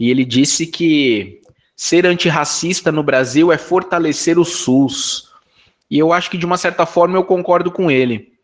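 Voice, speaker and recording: A man with a high voice talks at a moderate speed, his pitch varying in an ordinary way. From Brazil, São Paulo (north zone). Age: 40s. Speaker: political candidate, activist. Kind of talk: interview.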